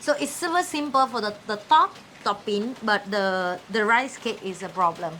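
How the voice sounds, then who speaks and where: A woman speaks in a Vietnamese accent with a bright, sharp tone. Her pitch swings very widely. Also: fairly high pitch for a woman, moderate pace. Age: young. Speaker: cooking show host. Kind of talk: casual chat.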